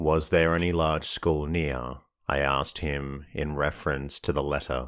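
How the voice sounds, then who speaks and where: In a very clean recording over a silent background, the voice is soothing, with vocal fry, fairly even intonation and a fairly slow pace. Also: man. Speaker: sleep podcast narrator. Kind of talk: sleep story reading of a classic novel. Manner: slow, soothing, monotone.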